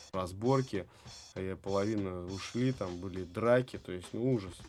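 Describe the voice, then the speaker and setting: A man's speech, moderate in pace and ordinary in pitch variation, is accompanied by music in the background. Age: 30s. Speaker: dance studio founder and breakdancer. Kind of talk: casual interview chat. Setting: studio. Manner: animated.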